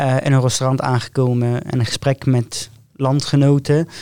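A man with an Arabic accent speaks at a fairly slow pace in a dark, mellow tone, his medium-pitched voice monotone and flat. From northern Syria, Raqqa. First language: Arabic (speaking Dutch). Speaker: hospital care worker and aspiring medical student. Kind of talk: podcast interview.

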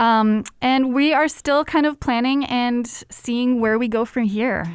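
A woman with an unremarkable speaking voice goes at a fairly slow pace, her pitch varying in an ordinary way, on a very clean recording with a silent background. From United States, partly raised in Germany and Syria. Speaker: food program manager. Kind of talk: casual interview.

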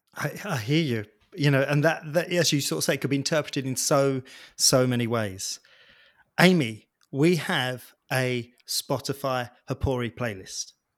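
The man's pitch sits in the medium range as he talks fairly slowly. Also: ordinary pitch variation, very clean recording, silent background. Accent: British. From Britain. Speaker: podcast host and personal trainer. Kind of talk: casual interview.

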